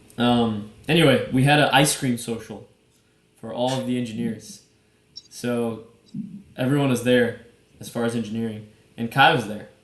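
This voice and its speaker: Audible room echo surrounds a man speaking at a medium pitch with fairly even intonation and long, frequent pauses. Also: moderate pace, big swings in loudness. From Brazil. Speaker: podcast co-host. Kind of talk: casual chat. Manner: casual.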